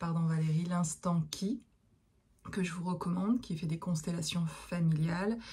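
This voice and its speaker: A woman speaks in a somewhat breathy voice with a fairly low pitch. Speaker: therapist and medium. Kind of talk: casual monologue to viewers. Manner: hesitant, many fillers.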